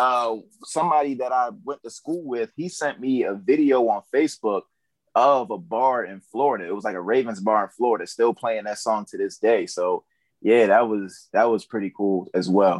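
An ordinary speaking voice with an American accent, ordinary pitch variation and a moderate pace, dry and close with no echo against a quiet background. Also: man, medium pitch for a man. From Baltimore, Maryland. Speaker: content creator and rapper. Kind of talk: casual chat.

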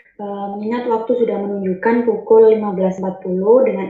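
A woman's fairly high-pitched voice, fairly slow, in a monotone, flat intonation. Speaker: student event MC. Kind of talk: formal event hosting. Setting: video call. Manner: formal.

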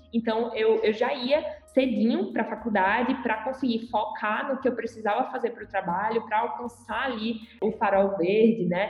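A woman's fairly high voice at a moderate pace, fairly even in intonation and with hardly any pauses, music playing in the background. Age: 20s. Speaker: corporate supervisor, former junior enterprise member. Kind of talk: casual podcast interview.

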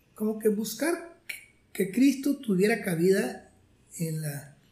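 A man's lively intonation amid noticeable background noise and audible room echo. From Mexico, Monterrey area (Nuevo León). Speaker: retired math professor. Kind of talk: interview, life story.

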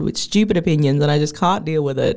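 Very fast speech from a woman has a dark, mellow tone and ordinary pitch variation. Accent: Australian. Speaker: podcast host. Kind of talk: casual chat.

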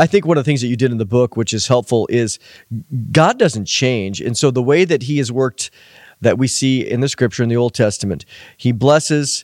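Speaking at a fairly quick pace, a man has a plain, everyday voice with ordinary pitch variation, and the sound is dry and close with no echo. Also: medium pitch for a man. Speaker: podcast host. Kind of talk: interview discussion. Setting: studio.

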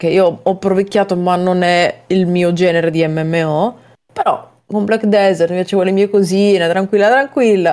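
Using an ordinary speaking voice, a woman talks at a moderate pace and medium pitch, her intonation fairly even and her loudness very even. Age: 20s. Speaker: gaming podcast co-host. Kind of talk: casual chat.

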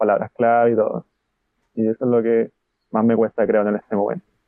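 A man with a Chilean accent talks at a fairly quick pace and a medium pitch. His intonation is monotone and flat. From Chile, Concepción. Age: 20s. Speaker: translator and Japanese learner. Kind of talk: interview.

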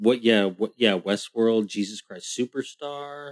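Recorded with a dry, close sound and no echo, a man speaks at a very slow pace. His medium pitch shows ordinary variation. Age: 40s. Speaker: film podcast co-host. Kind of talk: casual chat. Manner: hesitant, repeats words.

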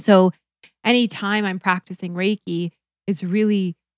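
A woman with an American accent and a normal speaking voice talks at a moderate pace and a fairly low pitch, her intonation fairly even, in a dry, close sound with no echo on a very clean recording with a silent background. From US Upper Midwest, North Dakota. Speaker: reiki practitioner. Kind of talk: casual chat.

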